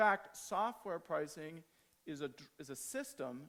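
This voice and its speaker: Here is a man with an American accent. His intonation is lively. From United States. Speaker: agile trainer and conference speaker. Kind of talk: conference talk.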